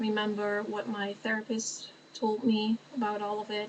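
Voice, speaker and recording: With a Dutch accent, a woman talks at a fairly slow pace in a fairly high pitch over noticeable background noise. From Netherlands. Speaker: vlogger. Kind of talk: casual chat. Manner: halting.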